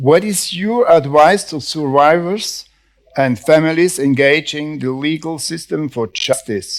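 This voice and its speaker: Speaking with a Swiss German accent, a man uses a fairly high pitch and ordinary pitch variation. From German-speaking Switzerland. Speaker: panel moderator. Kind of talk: panel moderation. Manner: halting.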